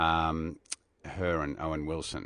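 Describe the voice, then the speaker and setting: The background is quiet. A man speaks in an Australian accent. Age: 60s. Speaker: radio broadcaster. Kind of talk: casual interview chat.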